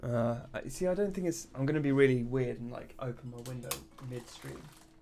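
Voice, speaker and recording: In a room with audible echo and noticeable background noise, a man talks at a fairly quick pace and medium pitch, with ordinary pitch variation and big swings in loudness. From England. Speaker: indie game developer streamer. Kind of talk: live stream chat while coding. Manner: casual, halting with many fillers.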